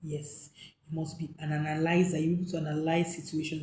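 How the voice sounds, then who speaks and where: A woman speaks at a moderate pace in a fairly low, somewhat breathy voice. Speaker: hotel manager and hospitality coach. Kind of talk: tutorial talk to camera. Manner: some hesitations and repetitions.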